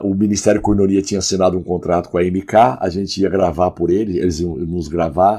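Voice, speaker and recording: Speaking at a fairly quick pace with hardly any pauses, a man has a very deep, low pitch, a dark, mellow tone and fairly even intonation, on a very clean recording with a silent background. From Goiás, Brazil (Goiânia). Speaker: pastor and worship songwriter. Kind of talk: podcast interview.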